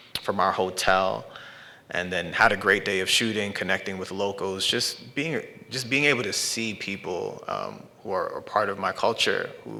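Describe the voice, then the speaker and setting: A man's fairly low-pitched, fairly slow speech in a New York accent. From New York, Brooklyn. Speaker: artist and filmmaker. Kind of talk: artist talk. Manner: halting.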